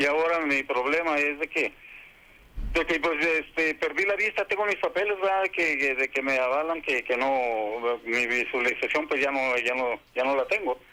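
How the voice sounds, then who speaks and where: A man speaks at a moderate pace with a fairly high pitch and ordinary pitch variation. His loudness stays very even. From Tijuana, Mexico. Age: 60s. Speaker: caller. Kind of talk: call-in question to a legal advice radio show. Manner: halting.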